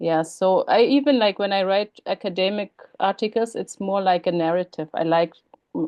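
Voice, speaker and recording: A woman speaks with a German accent. Her pace is moderate. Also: medium pitch for a woman, ordinary pitch variation. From Germany. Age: 40s. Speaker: writer and academic. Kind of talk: interview. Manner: hesitant, many fillers.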